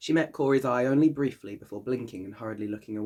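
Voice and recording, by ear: Here a passage is read aloud in a natural voice.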